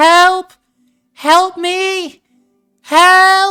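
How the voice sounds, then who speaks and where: Music plays in the background behind a squeaky, put-on character voice. Its extremely high pitch stays monotone, with flat intonation. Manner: calling out for help.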